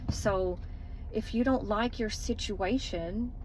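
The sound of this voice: A woman at medium pitch, with ordinary pitch variation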